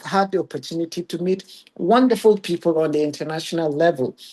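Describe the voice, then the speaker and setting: A man with a Ghanaian accent speaks at a moderate pace in a high pitch with ordinary variation. His tone is dark and mellow. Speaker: regional curator. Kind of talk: webinar presentation.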